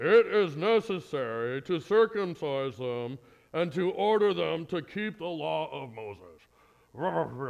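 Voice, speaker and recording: The voice is a put-on character voice with very wide pitch swings. It moves at a fairly slow pace. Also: man, fairly high pitch for a man. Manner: pompous, declaring.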